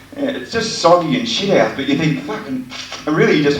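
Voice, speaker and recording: A man talking at a very fast pace with lively intonation, amid noticeable background noise. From Australia. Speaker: stand-up comedian. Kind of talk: live stand-up comedy set. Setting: live comedy venue with audience.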